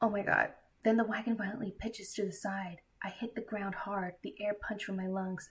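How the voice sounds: Intonation is fairly even here. The reading voice is natural.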